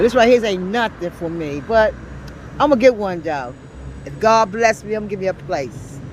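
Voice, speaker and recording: Lively intonation from a woman, noticeable background noise behind her. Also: medium pitch for a woman, moderate pace. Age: 60s. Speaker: homeless person. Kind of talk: street interview.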